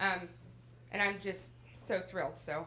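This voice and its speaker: Loud and marked by vocal fry, a woman's voice fills the space. Audible room echo surrounds her. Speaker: adult education center director. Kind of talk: graduation ceremony speech. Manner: animated.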